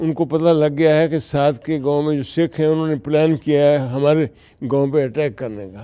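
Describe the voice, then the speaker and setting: A man with a fairly high pitch speaks in a dark, mellow tone with fairly even intonation. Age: 80s+. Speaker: businessman, author and marketer. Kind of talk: interview answer.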